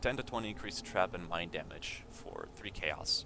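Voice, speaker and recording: Noticeable background noise fills the clip. A man is talking over it. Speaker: video game youtuber. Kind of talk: gameplay build tutorial. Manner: fast; hesitant with many fillers.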